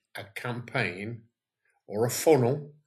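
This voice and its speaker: A man's medium-pitched voice proceeds at a very slow pace. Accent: British. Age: 70s. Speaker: online business owner. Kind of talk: screen-share tutorial. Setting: at home, wife beside him. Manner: casual, with fillers.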